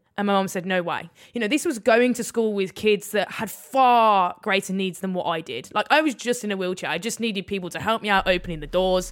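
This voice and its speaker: A woman with a Birmingham accent speaks at a fairly quick pace in a medium pitch, with ordinary pitch variation and hardly any pauses. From England, Birmingham. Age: 20s. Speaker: Paralympic rower. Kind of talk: interview. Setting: remote call.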